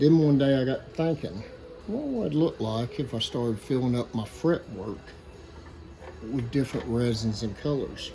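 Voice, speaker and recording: Music plays in the background behind a strong Southern US accent. The pace is moderate and the pitch variation is ordinary. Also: man, medium pitch for a man. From Arkansas, US South. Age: 50s. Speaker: woodworker. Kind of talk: workshop tutorial talk. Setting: workshop.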